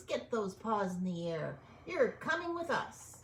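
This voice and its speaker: A woman puts on a squeaky character voice at a medium pitch, swinging very widely up and down. She talks at a fairly slow pace over clear background noise. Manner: bossy, commanding.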